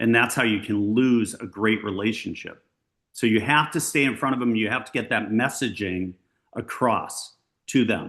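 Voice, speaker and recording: A man's medium-pitched voice with an American accent, moderate pace and ordinary pitch variation against a quiet background. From Massachusetts, Brockton area south of Boston. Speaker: luxury real estate agent. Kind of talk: coaching talk to agents on video call. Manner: animated.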